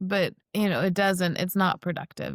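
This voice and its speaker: Speaking fairly quickly in an ordinary speaking voice, a woman with an American accent talks at a medium pitch in a very clean recording with a silent background. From US South. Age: 40s. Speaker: spiritual practitioner. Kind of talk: podcast interview.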